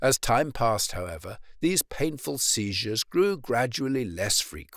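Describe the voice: The speaker does plain reading aloud.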